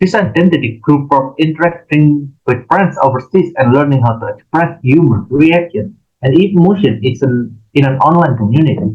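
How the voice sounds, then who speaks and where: Moderate pace with hardly any pauses, ordinary pitch variation, and an Indonesian accent. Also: man, fairly high pitch for a man. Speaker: university student. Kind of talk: class presentation. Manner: halting.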